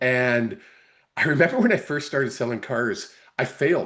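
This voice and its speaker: In a Canadian accent, a man with an unremarkable speaking voice talks at a fairly high pitch with lively intonation. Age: 60s. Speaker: sports podcast co-host. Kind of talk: casual interview.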